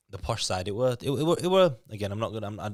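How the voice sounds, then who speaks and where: Speaking at a very fast pace in a Yorkshire accent, a man with a medium pitch uses lively intonation. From Leeds, Yorkshire (raised from age 8; born in Lithuania). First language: Lithuanian. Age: 20s. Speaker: fitness boot camp owner. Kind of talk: podcast interview. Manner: halting, frequent repetitions.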